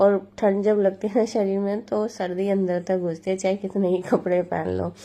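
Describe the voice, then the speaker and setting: Against a quiet background, a woman speaks fairly slowly in a dark, mellow tone with monotone, flat intonation. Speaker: family vlogger. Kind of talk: home cooking vlog narration. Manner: casual, chatty.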